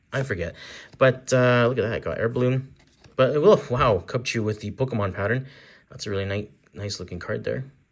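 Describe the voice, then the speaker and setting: The speech moves at a fairly quick pace in a plain, everyday voice. The recording is very clean, with a silent background. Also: man. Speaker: card-opening youtuber. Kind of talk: casual unboxing commentary. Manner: chatty.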